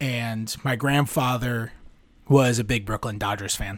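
A man speaks with an American accent in a normal speaking voice. His pitch is medium, with ordinary pitch variation. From New York City. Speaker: sports beat writer. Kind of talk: interview.

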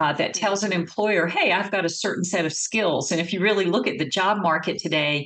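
A woman's voice with a Southern US accent and ordinary pitch variation. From North Carolina, US South. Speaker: marketing agency CEO. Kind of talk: interview.

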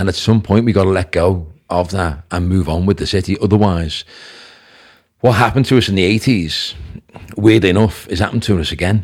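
A man with a Liverpool accent has a very deep, low pitch and ordinary pitch variation. He talks at a fairly quick pace but leaves long, frequent pauses. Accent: Scouse (Liverpool). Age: 50s. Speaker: businessman. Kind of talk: podcast interview.

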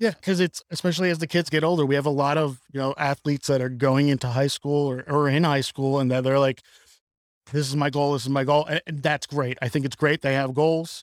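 A man with a fairly high pitch speaks in a normal speaking voice, his intonation fairly even. The sound is dry and close with no echo, and the recording is very clean with a silent background. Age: 40s. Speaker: youth athletics facility owner. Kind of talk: casual chat.

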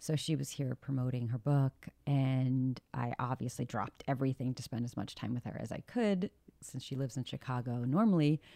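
Quiet and dark, mellow in tone, a woman's very deep, low voice moves at a moderate pace with hardly any pauses and ordinary pitch variation, the sound dry and close with no echo. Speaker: podcast host. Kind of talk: casual chat. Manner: quiet, close to the mic.

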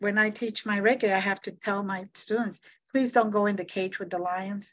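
In a quiet background, a woman talks with an unremarkable speaking voice at a medium pitch and with fairly even intonation. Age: 60s. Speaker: psychic medium and Reiki teacher. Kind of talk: casual interview chat.

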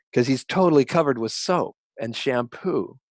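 A man with an American accent in a normal speaking voice, with lively intonation at a moderate pace, dry and close with no echo, on a very clean recording with a silent background. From Colorado. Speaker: journalist and professor. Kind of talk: interview.

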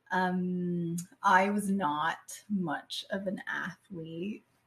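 Somewhat breathy speech comes with intonation that stays fairly level. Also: woman. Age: 40s. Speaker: cancer patient and advocate. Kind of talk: casual chat. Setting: studio.

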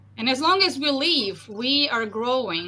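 A woman's high-pitched, lively voice over noticeable background noise. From Russia. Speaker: leadership coach. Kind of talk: interview.

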